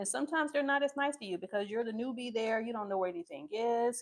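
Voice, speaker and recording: Very clean recording with a silent background, a woman's fairly high pitch, a plain, everyday voice. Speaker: nursing assistant instructor. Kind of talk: live class teaching.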